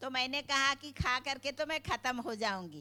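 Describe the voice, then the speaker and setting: A woman speaks at a high pitch in a bright, sharp tone. Her voice is raised and projected. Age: 70s. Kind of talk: thank-you speech.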